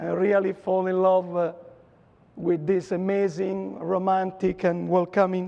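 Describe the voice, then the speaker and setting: A man's high-pitched voice with an Italian accent, at a fairly slow pace. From Italy (Rome). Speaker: dentist lecturer. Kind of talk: lecture. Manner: hesitant with many fillers.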